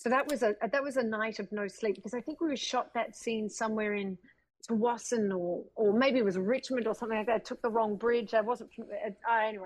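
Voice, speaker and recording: In an Australian accent, a woman talks at a fairly quick pace with a fairly high pitch and fairly even intonation. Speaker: actress. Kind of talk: casual chat. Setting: video call.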